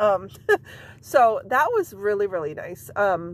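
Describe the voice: Speaking slowly, a woman uses a medium pitch and lively intonation.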